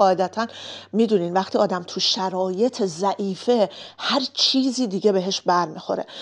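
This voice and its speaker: This is a plain, everyday voice with ordinary pitch variation. The background is quiet. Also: woman. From Iran, Kermanshah (Kurdish family). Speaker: vlogger. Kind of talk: personal storytelling vlog.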